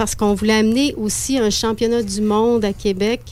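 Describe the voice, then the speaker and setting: A woman's normal speaking voice, fairly high-pitched, at a moderate pace. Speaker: festival director. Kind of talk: interview. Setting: studio.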